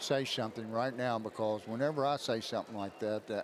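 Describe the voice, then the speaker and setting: Fairly low in pitch, a man with an Appalachian accent speaks with fairly even intonation. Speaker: sports commentator. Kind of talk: casual chat.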